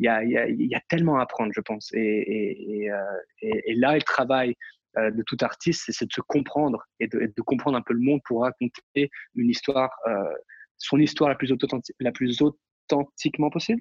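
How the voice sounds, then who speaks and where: Recorded dry and close with no echo, a man talks at medium pitch and a moderate pace with ordinary pitch variation. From Europe. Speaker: dancer and acrobat. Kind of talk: interview. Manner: halting, many fillers and repetitions.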